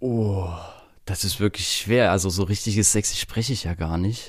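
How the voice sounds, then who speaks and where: In a slight Saxon accent, a man with a fairly low pitch speaks at a fairly slow pace with ordinary pitch variation. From Saxony, eastern Germany. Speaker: media designer and event organizer. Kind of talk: casual interview.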